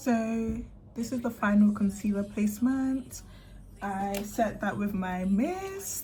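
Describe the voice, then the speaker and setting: A woman's medium-pitched voice with a British accent, fairly even intonation and a very slow pace, with audible room echo and music in the background. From Britain. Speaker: beauty youtuber. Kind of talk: makeup tutorial chat. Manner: casual, chatty.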